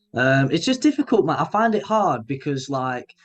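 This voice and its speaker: The speaker talks at a moderate pace with a northern English accent. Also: man. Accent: regional northern English. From northern England, Grimsby, Lincolnshire. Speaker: indie pop musician. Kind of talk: casual interview chat. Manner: halting, many fillers and restarts.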